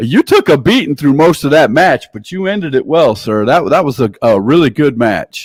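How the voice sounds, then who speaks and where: A man with an American accent and an ordinary speaking voice talks at a moderate pace with hardly any pauses, fairly high pitch and lively intonation, in a dry, close sound with no echo and a very clean recording with a silent background. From Milwaukee, Wisconsin. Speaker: talk show host and wrestling commentator. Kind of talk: live commentary and interview.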